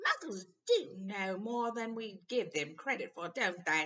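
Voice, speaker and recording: A female-sounding voice in a medium pitch performs a put-on character voice. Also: fairly slow pace. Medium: read story. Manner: brisk, motherly.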